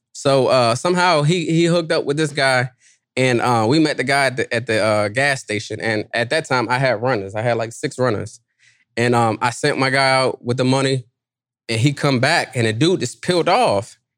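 A man talks at a moderate pace with medium pitch and ordinary pitch variation. The recording is very clean, with a silent background. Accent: D.C.. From Washington, D.C. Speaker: boat rental entrepreneur. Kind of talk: interview. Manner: animated.

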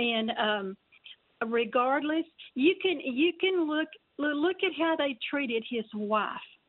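A woman speaks very slowly in a high voice with lively intonation. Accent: Texan. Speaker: caller. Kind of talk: call-in opinion. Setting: phone call. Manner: halting.

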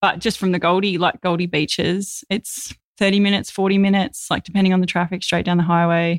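A woman with an Australian accent, very fast delivery, medium pitch, flat monotone intonation and very even loudness. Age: 30s. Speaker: vegan influencer and author. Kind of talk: casual interview.

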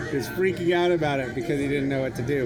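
At a fairly high pitch, a man talks with audible room echo and noticeable noise in the background. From Torrington, Wyoming. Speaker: educator, education nonprofit founder. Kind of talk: casual chat. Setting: outdoors in a yard.

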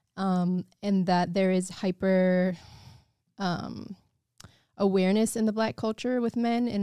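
A woman with an American accent speaks at a medium pitch in a dark, mellow tone, fairly slowly and in a flat monotone. The recording is very clean and dry, close with no echo, over a silent background. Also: very even loudness. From Evanston, north of Chicago. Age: 30s. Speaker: musician and actress. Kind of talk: casual chat.

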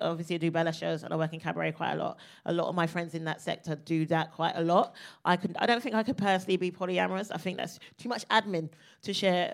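A woman at a very fast pace, fairly low-pitched with vocal fry and fairly even intonation, in a very clean recording with a silent background. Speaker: comedian. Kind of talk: live podcast recording in front of audience. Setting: stage with audience.

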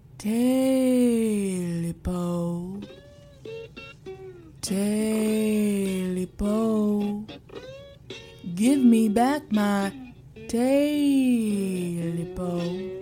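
Using a put-on character voice, a woman talks at a very slow pace and medium pitch with long, frequent pauses while music plays clearly in the background. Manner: eerie, menacing.

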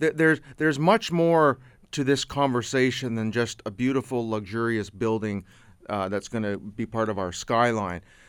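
With a Canadian accent, a man in an unremarkable speaking voice talks at a moderate pace and medium pitch with ordinary pitch variation on a very clean recording with a silent background. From Canada. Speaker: local cable TV host. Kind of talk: casual chat. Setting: radio studio.

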